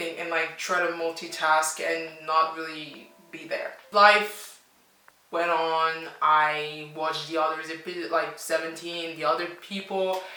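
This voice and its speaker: Over noticeable background noise and audible room echo, a woman with a French accent speaks in an animated tone. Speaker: language teacher and YouTuber. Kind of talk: casual reaction vlog.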